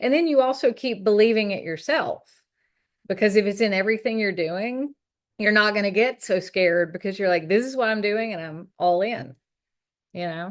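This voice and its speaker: A woman in a Southern US accent, medium pitch, lively intonation and moderate pace, over a quiet background. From US South, North Carolina. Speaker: gallery owner on art career panel. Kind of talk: panel discussion. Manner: hesitant, many fillers.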